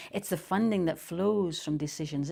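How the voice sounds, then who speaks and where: This woman speaks in a Shetland accent at a medium pitch, her tone dark and mellow with lively intonation. The recording is very clean, with a silent background. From Shetland, Scotland. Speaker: poet. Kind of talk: poetry reading.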